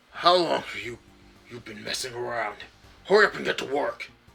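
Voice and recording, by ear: A man puts on a character voice. It sits at a medium pitch and sounds gruff. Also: fairly quick pace.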